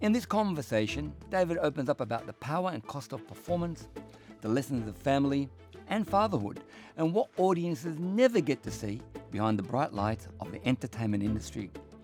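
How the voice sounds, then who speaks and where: Music plays in the background as a man speaks at a fairly quick pace. His voice sits at a medium pitch with very wide pitch swings. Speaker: podcast host. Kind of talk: podcast intro.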